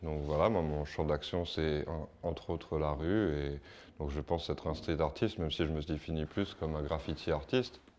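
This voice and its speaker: A man's very deep, low voice over a quiet background. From France, Paris region. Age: 30s. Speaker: street artist. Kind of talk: interview and demonstration. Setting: artist's workshop.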